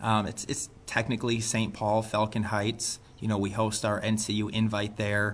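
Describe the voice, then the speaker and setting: This is a plain, everyday voice from a man at medium pitch. He speaks at a moderate pace. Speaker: women's basketball head coach. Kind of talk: interview answers.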